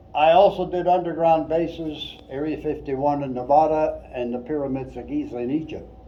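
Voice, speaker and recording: Delivered at a fairly quick pace with hardly any pauses, the speech has fairly even intonation and big swings in loudness, with audible room echo and noticeable background noise. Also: man, fairly high pitch for a man. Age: 80s+. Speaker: retired engineer and UFO researcher. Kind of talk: museum presentation.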